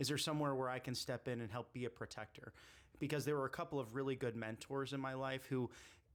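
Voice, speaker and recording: A man talks in a normal speaking voice at medium pitch. He has an American accent and a fairly quick pace. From US Midwest, Chicago area. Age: 30s. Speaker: political candidate. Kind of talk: casual interview.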